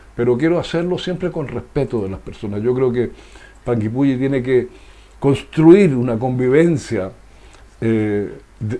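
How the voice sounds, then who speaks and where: A man with a medium-pitched, dark, mellow voice speaks fairly slowly with lively intonation. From southern Chile, Los Ríos region. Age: 60s. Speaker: former local politician. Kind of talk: interview.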